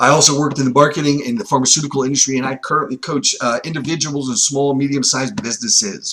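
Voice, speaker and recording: Barely pausing, a man rattles along at a very fast pace in a fairly high pitch with fairly even intonation. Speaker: recruiting coach. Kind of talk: webinar presentation.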